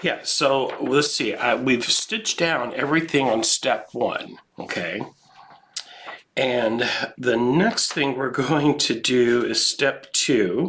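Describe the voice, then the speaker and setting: Noticeable background noise sits behind a man talking at a very slow pace. His medium pitch shows ordinary variation. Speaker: quilting instructor. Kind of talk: live tutorial. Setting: home studio live stream. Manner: casual, chatty.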